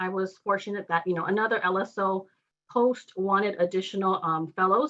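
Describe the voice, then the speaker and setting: A woman talks at a medium pitch in a bright, sharp tone. Her intonation stays fairly even. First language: Spanish. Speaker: law fellow awaiting bar results. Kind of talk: testimony. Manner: halting, many fillers.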